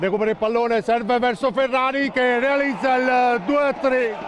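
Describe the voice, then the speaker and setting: Noticeable background noise sits behind a man with an extremely high voice. His loudness stays very even, and his pitch varies in an ordinary way. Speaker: football commentator. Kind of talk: live match commentary, rapid play-by-play over highlights. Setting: stadium.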